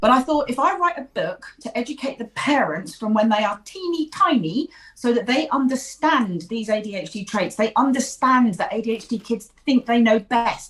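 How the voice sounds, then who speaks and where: A woman with an English accent speaks at a moderate pace and a fairly high pitch. Her pitch swings are very wide. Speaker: ADHD therapist and author. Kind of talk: interview. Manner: talkative.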